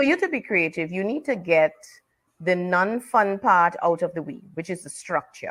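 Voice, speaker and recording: In a Trinidadian accent, a woman speaks with lively intonation. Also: medium pitch for a woman, moderate pace. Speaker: author and teacher. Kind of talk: interview.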